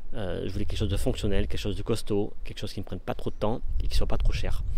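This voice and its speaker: Audible room echo surrounds the recording. A man talks at a very fast pace. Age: 40s. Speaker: vanlife vlogger. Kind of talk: casual video tour. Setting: outdoors. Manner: hesitant, many fillers.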